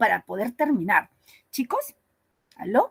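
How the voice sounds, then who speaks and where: A woman speaks at a high pitch and a fairly slow pace. The sound is dry and close, with no echo. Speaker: teacher. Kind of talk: online lecture.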